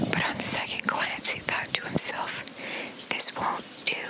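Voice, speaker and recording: A whispered voice comes through over noticeable background noise. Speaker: ASMR storyteller. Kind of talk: read-aloud fairy tale.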